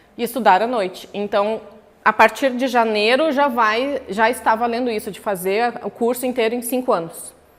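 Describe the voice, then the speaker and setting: Noticeable background noise sits behind the recording. Through it, a woman speaks at a fairly high pitch. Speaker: professor. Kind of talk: lecture. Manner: animated.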